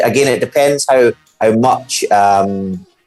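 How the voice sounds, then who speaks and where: Music plays in the background as a man speaks with a Scottish accent. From Scotland. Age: 30s. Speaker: football pundit. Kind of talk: casual chat.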